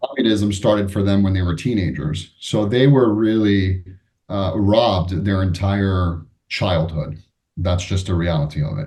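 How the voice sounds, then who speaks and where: A somewhat breathy man with a dark, mellow tone talks at a moderate pace, using ordinary pitch variation. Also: fairly low pitch for a man. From United States (Cuban-born, Spanish-speaking home). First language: Spanish. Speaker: business executive and author. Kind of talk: interview. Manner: hesitant, many fillers.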